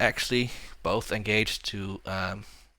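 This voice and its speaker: A man's fairly low voice, bright and sharp in tone, with a slight Dutch accent, at a very slow pace, in a very clean recording with a silent background. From Netherlands. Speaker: board game streamer. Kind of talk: casual chat.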